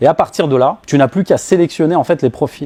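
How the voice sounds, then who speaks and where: A man speaks at a fairly high pitch with a dark, mellow tone. His pitch variation is ordinary, and the sound is dry and close with no echo. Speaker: business coach / speaker. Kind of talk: talk to a live audience.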